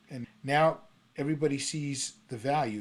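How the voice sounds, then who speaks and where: A man with an American accent has an unremarkable speaking voice. His pitch is fairly high and his intonation is lively. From New York City. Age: 60s. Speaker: songwriter and retired prosecutor's office worker. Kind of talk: interview conversation.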